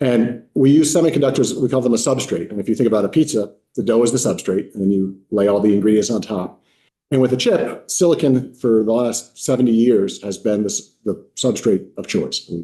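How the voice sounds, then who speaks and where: This man's voice sits at a medium pitch with ordinary pitch variation and a dark, mellow tone. He talks at a fairly quick pace. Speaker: university innovation officer, manufacturing executive. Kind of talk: legislative testimony. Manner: fast.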